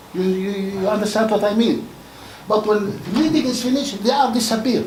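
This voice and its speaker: The speaker talks in a Palestinian accent. Noticeable background noise is present. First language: not English. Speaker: audience member. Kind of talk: audience question.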